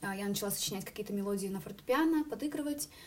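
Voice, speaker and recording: Her intonation lively, a woman speaks. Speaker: singer and student. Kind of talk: interview.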